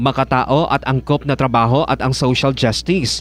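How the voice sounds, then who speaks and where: In a plain, everyday voice, a man talks at a fairly quick pace with medium pitch and fairly even intonation. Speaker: radio news reporter. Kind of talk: formal newsreading. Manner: formal; steady, brisk broadcast delivery.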